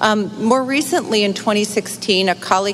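Over noticeable background noise, a woman with an American accent speaks with ordinary pitch variation. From upstate New York, near Utica. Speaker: bank managing director. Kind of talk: sponsor presentation. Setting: convention stage with audience.

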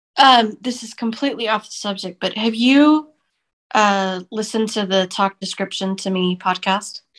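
In a very clean recording with a silent background, a plain, everyday voice speaks at a moderate pace with ordinary pitch variation. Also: woman, fairly high pitch for a woman. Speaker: podcast co-host. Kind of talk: casual interview chat.

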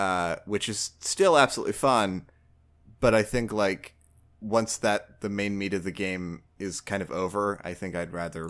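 A man speaks at a moderate pace in a fairly low pitch with ordinary pitch variation, using an ordinary speaking voice in a very clean recording with a silent background. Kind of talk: casual chat about games.

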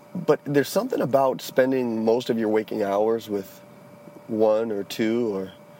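The voice carries an American accent and fairly even intonation. Noticeable background noise can be heard. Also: man. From Charleston, South Carolina. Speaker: listener reporting a mission, office supervisor. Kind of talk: recorded voice message.

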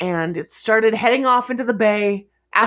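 With a quiet background, an unforced reading voice shows ordinary pitch variation.

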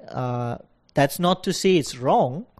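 A man's dark, mellow tone at a fairly slow pace. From Singapore. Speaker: law student. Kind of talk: casual chat. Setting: recorded at a university. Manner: halting.

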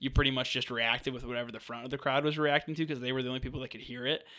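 Bright and sharp in tone, a man speaks at medium pitch with monotone, flat intonation. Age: 20s. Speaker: sports podcast co-host. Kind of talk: casual chat.

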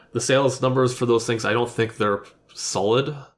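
A man talks at a moderate pace in an unremarkable speaking voice. His pitch is medium, with fairly even intonation. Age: 30s. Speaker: gaming podcast co-host. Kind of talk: casual chat.

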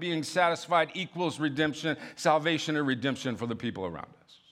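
Recorded very cleanly against a silent background, the voice moves at a moderate pace with an animated, warm tone and ordinary pitch variation. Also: man. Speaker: guest preacher. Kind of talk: sermon. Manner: animated, warm, call-and-response preaching with laughter and self-deprecating asides; urgent, exhorting, pleading tone in the altar-call style appeal.

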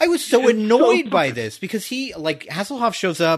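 Against a quiet background, a man speaks in an animated tone at a moderate pace with lively intonation. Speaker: podcast host. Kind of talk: casual chat. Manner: loud.

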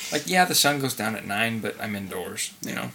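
A man with an American accent at a medium pitch and moderate pace, against noticeable background noise. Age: 20s. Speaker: podcast co-host. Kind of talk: casual chat.

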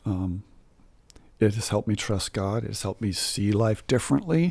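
A man with an American accent has an unremarkable speaking voice and a fairly low pitch. He talks at a moderate pace with ordinary pitch variation. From Southern California. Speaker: church musician. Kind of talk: testimony.

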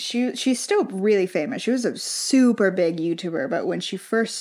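A woman talks at a moderate pace in an ordinary speaking voice, her pitch medium and her intonation lively. The recording is very clean, with a silent background. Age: 20s. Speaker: podcast co-host. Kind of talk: casual chat.

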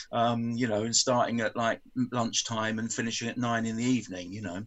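A man talks at a fairly quick pace with a medium pitch. His intonation is monotone and flat. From West London. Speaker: guest, film fan. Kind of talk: interview. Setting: video call.

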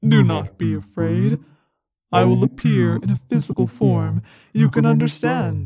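Put-on character voice, very deep and low, at a moderate pace. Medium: audio drama. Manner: calm, serene, unhurried.

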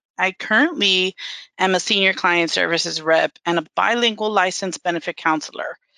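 At a moderate pace, a woman speaks in a fairly low pitch with fairly even intonation and a bright, sharp tone. The sound is dry and close, with no echo. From Miami, Florida. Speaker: bilingual benefits counselor. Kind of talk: interview.

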